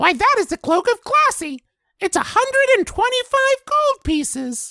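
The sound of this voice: An extremely high, squeaky, put-on character voice. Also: moderate pace.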